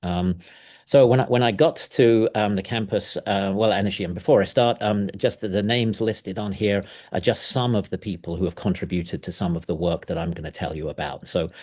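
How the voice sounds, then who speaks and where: With an English accent, a man speaks at a fairly quick pace. His pitch is fairly low with ordinary variation, over a quiet background. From England. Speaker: professor. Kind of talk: lecture. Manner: fast; halting, many fillers.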